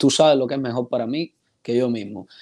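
Against a quiet background, the voice has a dark, mellow tone and moves at a moderate pace. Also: man. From Cuba. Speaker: actor. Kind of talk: interview. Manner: halting, many repetitions. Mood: warm, grateful, animated. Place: home room. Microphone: earbuds.

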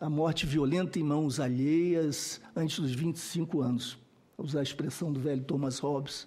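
A man speaks with a dark, mellow tone at a fairly high pitch. His voice is somewhat breathy. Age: 60s. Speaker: researcher and expert witness on violence; witness. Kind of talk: testimony at a parliamentary hearing. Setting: senate committee hearing room. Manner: formal. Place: meeting room. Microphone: podium.

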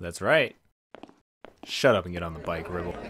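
A man puts on a raspy character voice with a very deep, low pitch and fairly even intonation. He moves at a moderate pace, with big swings in loudness. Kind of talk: comic parody voice acting.

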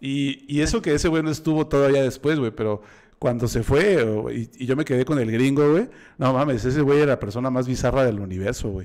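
A man with a medium-pitched voice talks at a fairly quick pace, using ordinary pitch variation against a quiet background. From Mexico. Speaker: podcast host. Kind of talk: casual chat. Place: home room. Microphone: studio mic.

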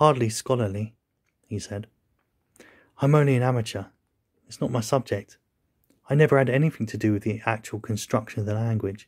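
A man speaks in a medium-pitched, somewhat breathy voice with fairly even intonation. His speech has long, frequent pauses. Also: fairly quick pace, very clean recording, silent background. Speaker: audiobook narrator. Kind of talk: literary audiobook reading, scripted narration of a novel. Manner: measured, formal, suspenseful narration.

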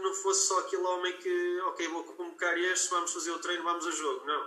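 A man is speaking amid noticeable background noise. Audible room echo surrounds his voice. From northern Portugal, Guimarães. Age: 40s. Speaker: football coach. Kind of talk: interview.

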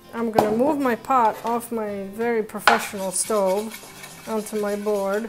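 A woman talks at a fairly slow pace over faint music in the background. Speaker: cooking show host. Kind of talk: tutorial. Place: kitchen.

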